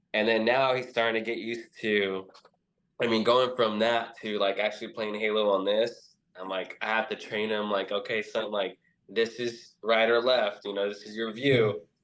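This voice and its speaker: Speaking at a moderate pace, a man with an American accent keeps his intonation monotone and flat. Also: medium pitch for a man. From US West, Central California. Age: 30s. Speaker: gamer, video editor. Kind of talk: casual chat.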